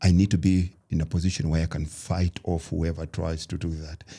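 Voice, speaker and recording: Somewhat breathy, a man speaks at a moderate pace. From Kenya. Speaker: fitness trainer and motivational speaker. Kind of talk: podcast interview.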